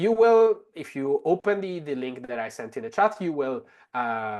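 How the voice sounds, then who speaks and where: This man's loudness swings a lot and his pitch swings very widely. The background is quiet. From Italy. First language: Italian. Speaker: translator and language technology expert. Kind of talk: webinar tutorial demo. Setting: online webinar. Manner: many fillers and restarts.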